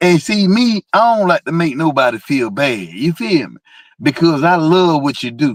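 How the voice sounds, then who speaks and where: A man in a Georgia accent, fairly high-pitched, at a moderate pace, with very wide pitch swings and big swings in loudness, in a dry, close sound with no echo on a very clean recording with a silent background. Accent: Southern US, Georgia. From US South, South Georgia. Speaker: car enthusiast. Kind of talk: casual chat. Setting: live stream. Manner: animated.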